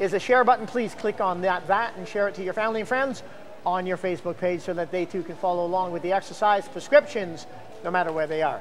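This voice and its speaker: Over faint music in the background, a man with a high pitch talks at a very fast pace. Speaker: fitness coach. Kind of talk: tutorial. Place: gym. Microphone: lapel.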